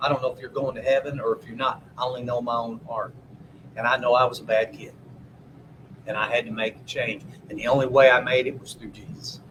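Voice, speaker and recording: Amid noticeable background noise, a man talks at a very fast pace in monotone, flat intonation with big swings in loudness. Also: medium pitch for a man. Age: 60s. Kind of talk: casual chat.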